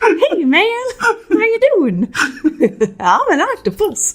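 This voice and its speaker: Someone uses a put-on character voice at an extremely high pitch and a very slow pace. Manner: casual, goofy.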